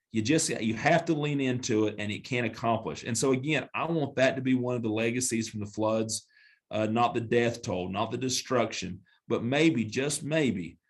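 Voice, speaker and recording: In a Southern accent, the speaker moves at a moderate pace with ordinary pitch variation. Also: man, medium pitch for a man. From western North Carolina. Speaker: mayor and attorney. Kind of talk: podcast interview.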